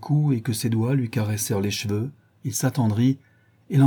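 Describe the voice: What we hear is plain reading aloud.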